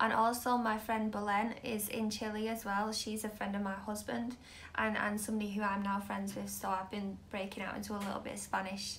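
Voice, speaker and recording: Against noticeable background noise and audible room echo, a woman talks at a fairly quick pace in a medium pitch with monotone, flat intonation. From Manchester, northern England. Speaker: tarot reader. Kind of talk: live stream tarot reading. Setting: live video stream. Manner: casual, hesitant with fillers.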